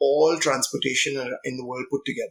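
With a bright, sharp tone, a man speaks at a fairly high pitch using fairly even intonation. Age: 40s. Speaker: business coach and founder. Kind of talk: interview.

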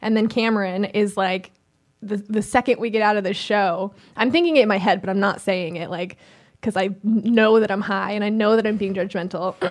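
An unremarkable speaking voice belongs to a woman of medium pitch who talks fairly quickly with fairly even intonation. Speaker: producer and co-host. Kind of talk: casual chat.

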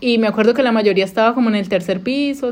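A woman speaks with a Colombian accent. Her voice is fairly high, with ordinary pitch variation. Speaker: podcast host, former au pair. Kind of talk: casual chat. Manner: fast.

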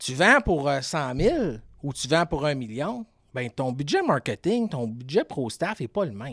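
On a very clean recording with a silent background, a man with a Quebec accent and a fairly high voice speaks at a fairly slow pace, his pitch swinging very widely in a dry, close sound with no echo. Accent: Québécois French. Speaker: fishing pro-staff agency owner. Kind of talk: casual chat.

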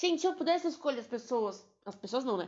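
A woman's high-pitched voice has an animated tone and lively intonation. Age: 20s. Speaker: podcaster, veterinary student. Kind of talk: casual monologue.

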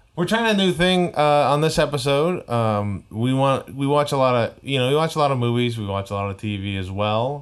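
A man with a normal speaking voice talks at medium pitch and a moderate pace. His intonation is lively, and he hardly pauses. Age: 30s. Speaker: podcast co-host and comedian. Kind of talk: casual chat.

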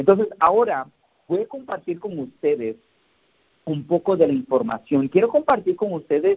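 This man speaks at a high pitch. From Mexico, Oaxaca. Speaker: network marketing team leader. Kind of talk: motivational team call. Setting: conference call. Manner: halting, many fillers.

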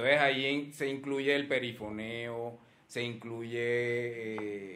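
A man at medium pitch, with audible room echo and noticeable background noise. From Colombian Caribbean coast, Cartagena. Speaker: advertising professor and researcher. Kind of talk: casual chat.

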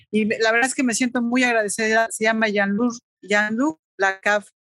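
An unremarkable speaking voice moves at a moderate pace with fairly even intonation, heard in a dry, close sound with no echo. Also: woman. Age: 40s. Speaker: photographer. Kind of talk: casual interview.

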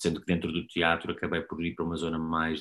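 A man speaks here. His voice sits very deep and low. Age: 30s. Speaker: actor. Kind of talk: casual chat.

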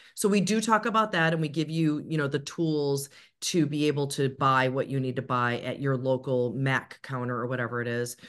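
With hardly any pauses, a woman talks in a very deep, low pitch and lively intonation over a quiet background. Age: 40s. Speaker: media and public speaking coach. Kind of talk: interview. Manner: smiling while speaking.

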